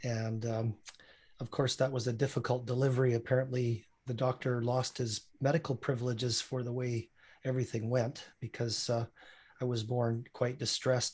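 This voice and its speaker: Somewhat breathy, a man with a Canadian accent speaks at a moderate pace and medium pitch in monotone, flat intonation. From Saskatchewan, Canada. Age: 60s. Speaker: physician. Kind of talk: interview.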